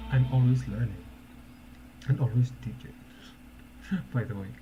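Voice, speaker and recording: A man with a non-native accent speaks at a medium pitch with ordinary pitch variation. His voice is somewhat breathy, with a dark, mellow tone. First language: not English. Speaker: social media marketing coach, former teacher. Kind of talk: casual live-stream talk. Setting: live stream. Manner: halting, many repetitions and fillers.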